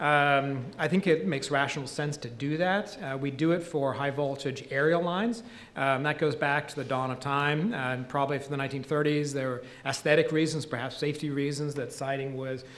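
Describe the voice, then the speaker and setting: A man with an unremarkable speaking voice, at a fairly high pitch, moderate pace and ordinary pitch variation. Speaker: state utility regulator; speaker. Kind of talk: panel presentation. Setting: stage with audience. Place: hall. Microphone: podium.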